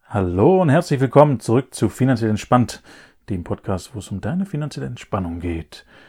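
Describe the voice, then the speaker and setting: On a very clean recording with a silent background, a man with a dark, mellow tone and a somewhat breathy voice talks at a fairly quick pace, his pitch swinging very widely. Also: medium pitch for a man, big swings in loudness. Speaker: financial advisor and podcast host. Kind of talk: casual explanatory chat. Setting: room in his parents' house.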